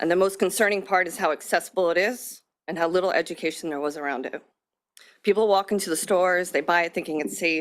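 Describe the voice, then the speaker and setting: Talking at a very fast pace, a woman holds a fairly low pitch with fairly even intonation. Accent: American. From Long Island, New York. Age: 30s. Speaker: member of the public testifying. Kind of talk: public testimony. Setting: legislative hearing at a podium.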